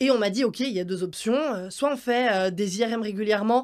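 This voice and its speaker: On a very clean recording with a silent background, a woman speaks at a fairly quick pace in a fairly high pitch. She has a plain, everyday voice with ordinary pitch variation. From Switzerland. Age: 20s. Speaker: circus artist. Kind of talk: interview.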